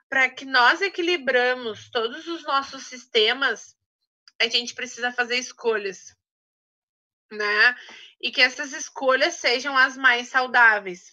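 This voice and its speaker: Speaking very slowly with long, frequent pauses, a woman projects a raised, high-pitched voice with a bright, sharp tone, big swings in loudness and ordinary pitch variation. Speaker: essential oils trainer. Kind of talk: online training talk.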